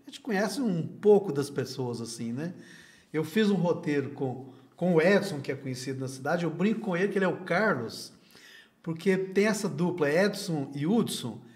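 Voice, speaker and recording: Over audible room echo, a man talks at a moderate pace with a high pitch and lively intonation. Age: 60s. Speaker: videocast host. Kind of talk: interview.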